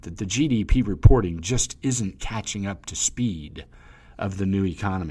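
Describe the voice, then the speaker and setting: Here is a man with a normal speaking voice, fairly low pitch and lively intonation. He keeps a moderate pace on a very clean recording with a silent background. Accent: American. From US South. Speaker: financial advisor podcast host. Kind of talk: scripted monologue. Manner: many filler words.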